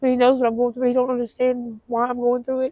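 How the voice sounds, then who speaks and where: A woman with a Southern US accent speaks at a fairly quick pace, high-pitched, dark and mellow in tone, in a monotone, flat intonation. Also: dry, close sound with no echo. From Tennessee. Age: 40s. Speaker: homeless woman interviewed. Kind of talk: street interview testimony. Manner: halting, many fillers.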